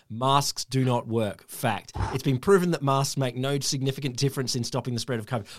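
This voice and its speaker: With an Australian accent, a man speaks at a fairly quick pace in a medium pitch, his tone animated and hardly pausing at all. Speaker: podcast host. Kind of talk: casual banter podcast. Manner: animated, jokey.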